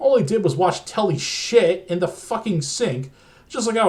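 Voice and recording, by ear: The intonation rises and falls lively. The text is read aloud in a natural voice.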